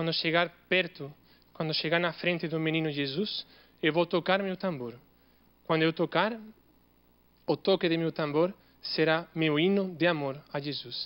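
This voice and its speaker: A man with a non-native accent speaks at a moderate pace and a high pitch, with fairly even intonation. He takes long, frequent pauses. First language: not Portuguese (speaking Portuguese). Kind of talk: Christmas homily told as a story.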